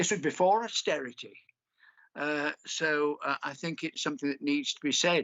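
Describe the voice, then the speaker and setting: A man with a British accent, fairly high-pitched, with ordinary pitch variation and a moderate pace. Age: 60s. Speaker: poet. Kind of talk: poetry reading with commentary.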